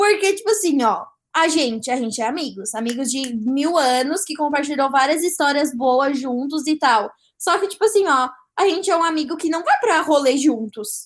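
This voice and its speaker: A woman with a high pitch speaks at a moderate pace, her pitch swinging very widely. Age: 20s. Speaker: social media influencer. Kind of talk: casual chat.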